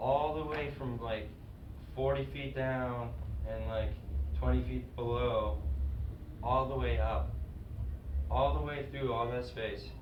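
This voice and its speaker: Noticeable noise runs in the background. A man talks at a fairly slow pace. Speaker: comedian. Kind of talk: live stand-up monologue. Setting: live comedy stage.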